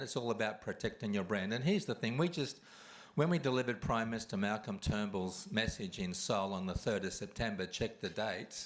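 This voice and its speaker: The speaker has an Australian accent and moves at a fairly quick pace. Pitch variation is ordinary. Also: man. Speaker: award recipient and kindness campaigner. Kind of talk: award acceptance speech.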